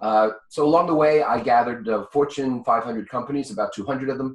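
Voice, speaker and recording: With a New York accent, a man talks at a fairly quick pace. His pitch is medium. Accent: New York speech pattern. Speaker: business consultant and author. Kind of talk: interview.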